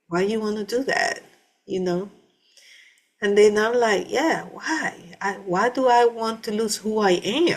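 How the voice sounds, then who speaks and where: A woman talks in a Panamanian accent, fairly high in pitch with ordinary pitch variation. Her pace is fairly slow, broken by long, frequent pauses. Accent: Panamanian Spanish accent, still noticeable. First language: Spanish. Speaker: vlogger. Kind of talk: personal testimony. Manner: halting, many fillers and restarts.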